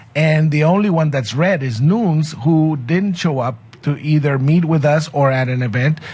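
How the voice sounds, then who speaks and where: A somewhat breathy man talks in a fairly high pitch with ordinary pitch variation. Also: moderate pace. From Mexico. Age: 60s. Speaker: sociology professor. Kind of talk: radio interview.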